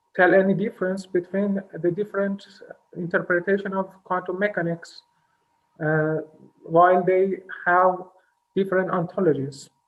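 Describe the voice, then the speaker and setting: A man with a non-native accent and a high pitch, speaking at a moderate pace in a flat monotone, with long, frequent pauses. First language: not English. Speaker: audience member asking question. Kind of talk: question at conference. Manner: halting.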